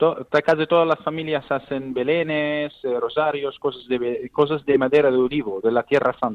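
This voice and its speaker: A man is speaking. His voice sits at medium pitch with fairly even intonation. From Palestine, Bethlehem. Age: 20s. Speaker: Bethlehem native living abroad. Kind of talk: interview. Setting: phone call. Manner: halting.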